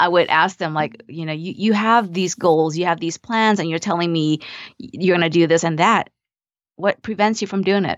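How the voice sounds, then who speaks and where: Speech comes at a moderate pace with a Vietnamese accent. The pitch varies in an ordinary way. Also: woman, fairly low pitch for a woman. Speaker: mindset coach and nurse practitioner. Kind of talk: interview conversation.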